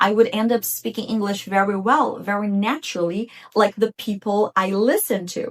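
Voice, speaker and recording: A woman at a medium pitch and moderate pace, with a Portuguese accent. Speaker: English teacher. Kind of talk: tutorial.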